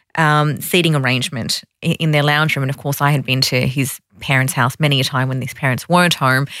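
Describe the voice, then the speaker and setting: Speaking at a moderate pace, a woman with an Australian accent has a bright, sharp tone. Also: very clean recording, silent background. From Sydney, Australia. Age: 30s. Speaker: women's finance organisation founder. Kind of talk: interview.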